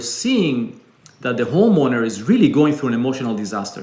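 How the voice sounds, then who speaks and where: Speaking fairly quickly, a man with a fairly high pitch has an Israeli accent. The room echo is audible and background noise is noticeable. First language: Hebrew. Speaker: business founder. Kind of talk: interview conversation.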